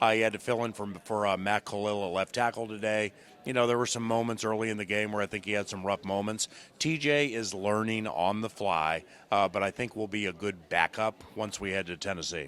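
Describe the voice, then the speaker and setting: A man talks fairly quickly in a normal speaking voice, fairly low-pitched with fairly even intonation. The recording is very clean, with a silent background. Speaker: radio play-by-play announcer. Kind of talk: post-game locker room interview answer. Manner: conversational, casual.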